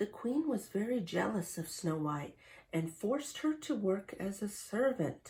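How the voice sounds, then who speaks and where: A woman with a medium-pitched, somewhat breathy voice speaks at a fairly slow pace. Her pitch swings very widely. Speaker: storybook reader for kids. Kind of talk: children's storybook read-aloud. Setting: reading aloud from a printed book, showing pictures. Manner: friendly, engaging, addressing children.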